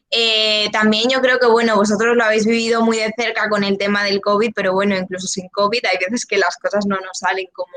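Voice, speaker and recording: Talking fairly quickly, a woman keeps a flat, monotone intonation. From León, Spain. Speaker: journalism student. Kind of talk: open day talk. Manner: hesitant.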